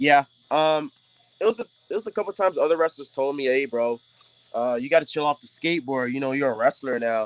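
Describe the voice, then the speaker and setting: Animated in tone, a man with a fairly high pitch speaks at a very fast pace. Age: 20s. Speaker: pro wrestler. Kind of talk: casual interview chat. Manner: casual, slangy, animated.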